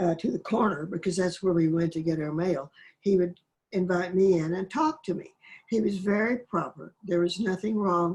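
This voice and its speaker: A somewhat breathy woman with an American accent, medium in pitch, at a moderate pace with ordinary pitch variation. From Oklahoma, US. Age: 90s. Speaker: poet. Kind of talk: interview, personal reminiscence. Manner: halting, with fillers and restarts.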